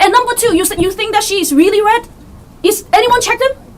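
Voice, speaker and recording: An extremely high-pitched woman moves at a fairly quick pace with lively intonation. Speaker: mafia game player. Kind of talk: game discussion. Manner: fast.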